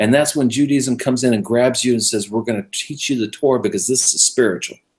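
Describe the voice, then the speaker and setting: At a very fast pace, a man with an American accent talks in a medium pitch. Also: ordinary pitch variation. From California. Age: 50s. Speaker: radio show host, Messianic believer. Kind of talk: casual interview chat.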